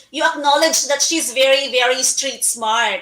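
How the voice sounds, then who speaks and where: A woman uses a raised, projected voice with a high pitch. Her intonation is fairly even. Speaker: online talk show host. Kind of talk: interview.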